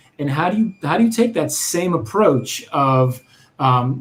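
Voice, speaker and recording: This man's voice sits fairly high in pitch and sounds somewhat breathy. He talks at a moderate pace with lively intonation. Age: 40s. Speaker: author and UX consultant. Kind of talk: interview.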